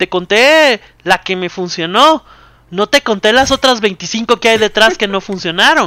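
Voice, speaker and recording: A raised, projected male voice, high-pitched, with a bright, sharp tone and lively intonation. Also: fairly slow pace. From Guatemala. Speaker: board game company public relations. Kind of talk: casual interview.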